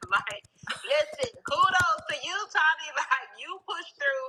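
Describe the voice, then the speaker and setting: A woman with an American accent projects a raised voice, her tone bright and sharp and her pitch swinging very widely. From California. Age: young. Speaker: stroke survivor and live stream host. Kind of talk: casual live stream chat. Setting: live stream.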